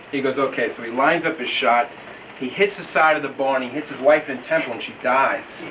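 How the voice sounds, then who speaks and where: This man has an American accent and a fairly high pitch, speaking at a fairly quick pace with fairly even intonation. There is noticeable background noise along with audible room echo. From New York, the Bronx, then Houston, Texas. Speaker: son giving a birthday toast. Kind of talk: birthday speech with a joke.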